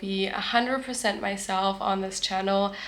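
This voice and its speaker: A woman speaks at a medium pitch with a German accent. Room echo and background noise are both noticeable. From Germany. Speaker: vlogger. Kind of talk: casual vlog talk to camera. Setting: at the beach.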